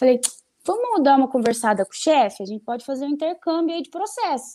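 This woman has a high pitch. Her voice moves through very wide pitch swings. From Botucatu, interior of São Paulo state, Brazil. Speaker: lawyer. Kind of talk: casual interview chat.

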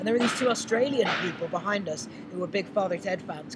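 The speech moves at a very fast pace. Noticeable noise sits in the background. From Ireland. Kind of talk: casual chat. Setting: outdoors.

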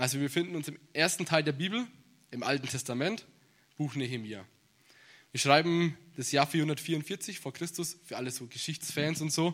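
At a moderate pace, a man with a fairly high pitch and ordinary pitch variation speaks with long, frequent pauses in a very clean recording with a silent background. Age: 20s. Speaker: bible seminary student preaching. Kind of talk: sermon. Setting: church service.

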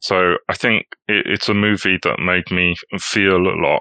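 With a British accent, a man speaks in a fairly low pitch and a bright, sharp tone, his intonation fairly even, the sound dry and close with no echo. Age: 40s. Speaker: economics writer and film festival programmer. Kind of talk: casual chat.

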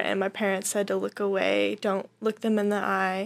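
A woman speaks with an American accent. The recording is very clean with a silent background. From Montana. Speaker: missionary trainee. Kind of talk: casual interview.

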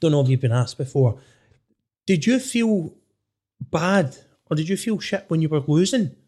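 In a west of Scotland accent, a man speaks at a moderate pace in a dark, mellow tone, with very wide pitch swings and long, frequent pauses. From Scotland, Inverclyde area. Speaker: podcast host. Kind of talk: casual chat.

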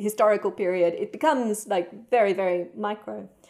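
An Australian accent on a very clean recording with a silent background. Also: woman. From Perth, Western Australia. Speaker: writer. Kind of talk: interview.

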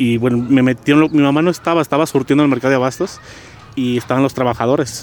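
A man talks at a very fast pace with very even loudness over noticeable background noise. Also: medium pitch for a man. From Guadalajara, Jalisco, Mexico. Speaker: community activist. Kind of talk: interview. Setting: outdoors in a park. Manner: halting, with many repetitions.

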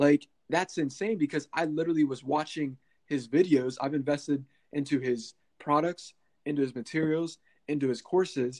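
With an American accent, a man talks at a moderate pace in a plain, everyday voice, his pitch fairly high and his intonation fairly even. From US, Pennsylvania (small town). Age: 20s. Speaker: marketing entrepreneur and podcast host. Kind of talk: interview.

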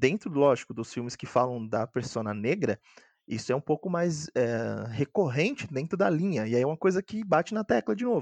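Here a man speaks at a moderate pace with a fairly high pitch. His pitch swings very widely, and the sound is dry and close with no echo. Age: 20s. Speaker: board game designer. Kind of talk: casual chat. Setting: video call. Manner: halting.

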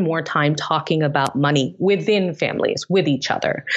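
Noticeable background noise runs through the clip. A woman does the talking. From Tanzania, East Africa. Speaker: tech startup founder. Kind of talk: interview.

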